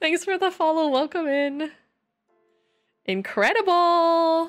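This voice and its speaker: Faint music plays in the background as a woman speaks at a very slow pace. She has a high pitch and an American accent. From Texas, raised by Michigan parents. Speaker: gaming streamer. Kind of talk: casual live-stream chat. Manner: animated. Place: home room. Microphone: studio mic.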